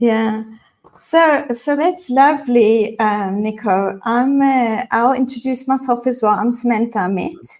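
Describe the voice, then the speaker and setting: With a South African accent, the speaker talks at a fairly slow pace with ordinary pitch variation. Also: woman, high pitch for a woman. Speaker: leadership and mindfulness coach. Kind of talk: casual interview chat. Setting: LinkedIn live video broadcast.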